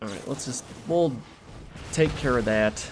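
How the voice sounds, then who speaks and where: Amid noticeable background noise, a man talks at a moderate pace with a medium pitch and ordinary pitch variation. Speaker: gaming content creator. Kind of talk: gameplay commentary. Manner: casual, animated.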